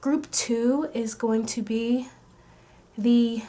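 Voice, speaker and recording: Her voice is fairly high for a woman, somewhat breathy, with a dark, mellow tone. The intonation stays fairly even. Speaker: tarot reader. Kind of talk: pick-a-card tarot reading. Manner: slow, paced talking.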